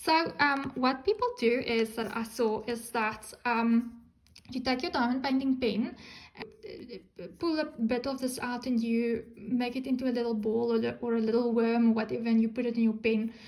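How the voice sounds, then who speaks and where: Speaking at a moderate pace, a woman with a non-native accent has a fairly high pitch. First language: not English. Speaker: crafting YouTuber. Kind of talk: unboxing video. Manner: hesitant, many ums; animated.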